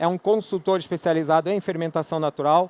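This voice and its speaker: A man speaks at a fairly quick pace with a fairly high pitch. His pitch varies in an ordinary way, and the sound is dry and close with no echo. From Brazil, Rio de Janeiro. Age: 40s. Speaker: equipment company manager, conference speaker. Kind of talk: conference talk. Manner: conversational, filler-heavy (né, é).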